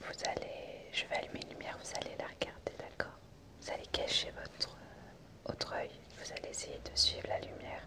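A woman whispers in a gentle tone at a moderate pace. Her loudness swings a great deal. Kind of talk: role-play medical care talk to viewer. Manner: soft ASMR murmur, gentle doctor. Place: home room. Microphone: phone near.

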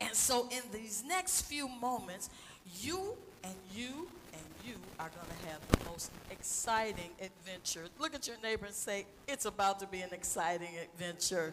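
Her intonation is lively and her loudness swings widely. The woman keeps a moderate pace over noticeable background noise. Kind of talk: church stage announcement. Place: church. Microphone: headset.

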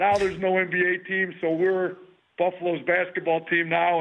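Speaking with an American accent, a man keeps a moderate pace. His high voice has a monotone, flat intonation. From Wisconsin. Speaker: college basketball head coach. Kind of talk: casual interview.

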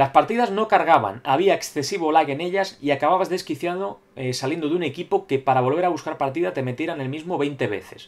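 This is an unremarkable speaking voice with lively intonation. It moves at a fairly quick pace with hardly any pauses. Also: man. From Spain. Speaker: gaming YouTuber. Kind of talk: solo video commentary reading viewer comments. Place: home room. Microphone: webcam.

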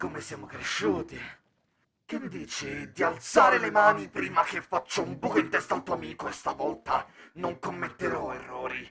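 In a put-on character voice, a man sounds menacing and raspy at a medium pitch, swinging very widely in pitch at a moderate pace. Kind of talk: dramatic voice message. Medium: machinima. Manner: menacing, mockingly polite.

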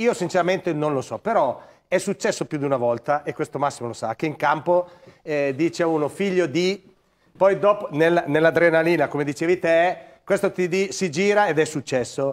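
A high-pitched man at a moderate pace, with ordinary pitch variation. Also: quiet background. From northern Italy, Crema; Italy. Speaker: former footballer, football pundit; football pundit. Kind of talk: studio panel discussion. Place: studio. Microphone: lapel.

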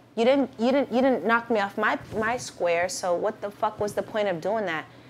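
A woman's unremarkable speaking voice, fairly high in pitch, with an American accent, lively intonation and a moderate pace. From Boston. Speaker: battle rapper. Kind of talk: casual interview chat.

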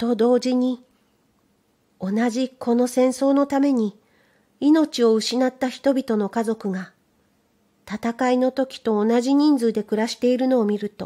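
A woman with a dark, mellow tone and a high pitch speaks at a fairly slow pace with long, frequent pauses, in a very clean recording with a silent background. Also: fairly even intonation. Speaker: voice trainer and narrator. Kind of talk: literary reading of a children's story.

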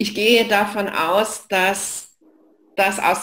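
Audible room echo surrounds this woman's voice as she speaks. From Saxony, eastern Germany (Leipzig); Saxony. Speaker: knowledge management expert; presenter. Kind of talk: online lecture / live session. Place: home room.

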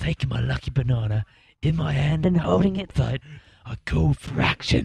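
A man performs a put-on character voice. It sits fairly low in pitch and moves at a moderate pace. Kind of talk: mock documentary interview.

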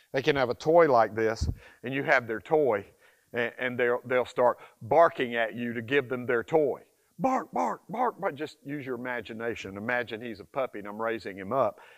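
A man talks at a moderate pace in an animated tone. His pitch moves in an ordinary way, and the background is quiet. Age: 60s. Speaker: dog trainer. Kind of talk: tutorial. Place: forest. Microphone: lapel.

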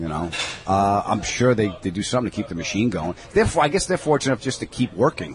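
With a New York accent, a man with a fairly low pitch talks at a very fast pace in an animated tone with very wide pitch swings, in dry sound with no echo and noticeable background noise. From New York (Long Island). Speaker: comedian. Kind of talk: casual interview chat. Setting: in a deli. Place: cafe.

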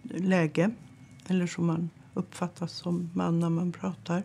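Against light background noise, a woman with a dark, mellow tone speaks at a very slow pace. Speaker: interviewee. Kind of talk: interview answer. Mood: calm, measured. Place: office. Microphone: lapel.

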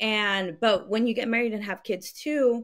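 A woman's words come at a fairly slow pace, with ordinary pitch variation and a quiet background. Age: 20s. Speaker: podcast host and college coach; podcast guest. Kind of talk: casual interview. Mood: reflective, open. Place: home room. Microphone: studio mic.

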